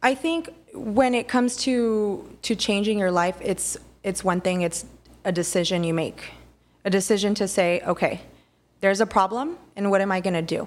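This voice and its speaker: On a very clean recording with a silent background, a woman with an unremarkable speaking voice and an American accent talks at a moderate pace in a medium pitch with ordinary pitch variation. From Texas, Rio Grande Valley. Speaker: family nurse practitioner and business owner. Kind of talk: casual interview chat.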